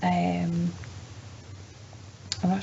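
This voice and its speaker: A soft-spoken woman with a very deep, low pitch and monotone, flat intonation, amid audible room echo and noticeable background noise. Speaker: vlogger. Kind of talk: casual vlog. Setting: at home at night.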